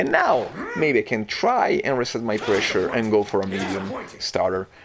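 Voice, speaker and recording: A man speaks at an even, moderate speed. Behind him there's noticeable background noise. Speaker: fighting game player. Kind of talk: gameplay commentary. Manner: hesitant, stuttering.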